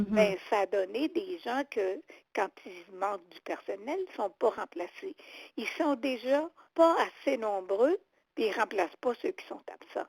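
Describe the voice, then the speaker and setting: With a Quebec accent, a woman talks very slowly at a fairly high pitch, her pitch swinging very widely and her loudness shifting a lot, in a dry, close sound with no echo. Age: 80s+. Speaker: retired seniors' rights advocate. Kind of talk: interview answer.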